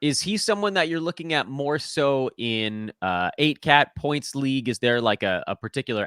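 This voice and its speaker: Medium in pitch, a man's bright, sharp voice moves with lively intonation in a dry, close sound with no echo. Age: 40s. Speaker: fantasy basketball podcast host. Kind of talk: podcast interview. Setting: video call. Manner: fast.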